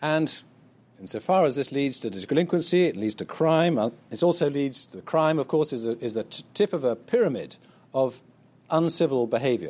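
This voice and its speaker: A man with an English accent talks at a moderate pace in a fairly high voice with lively intonation, recorded very cleanly against a silent background. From Britain. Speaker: author. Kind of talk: lecture. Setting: auditorium with audience.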